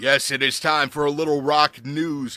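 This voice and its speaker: With an American accent and an upbeat, energetic tone, a man speaks in a fairly high pitch over background music, the sound dry and close with no echo. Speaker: radio DJ. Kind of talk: rock radio DJ demo.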